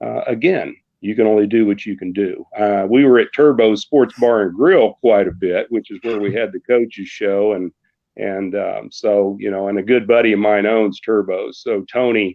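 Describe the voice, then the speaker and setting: With an American accent, a man in an unremarkable speaking voice talks at a moderate pace, fairly low in pitch, with fairly even intonation. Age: 60s. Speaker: radio sports announcer. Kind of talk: casual chat.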